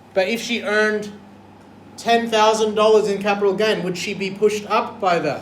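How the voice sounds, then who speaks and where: An animated, high-pitched man's voice with audible room echo. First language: not English. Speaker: maths teacher. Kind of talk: classroom lesson.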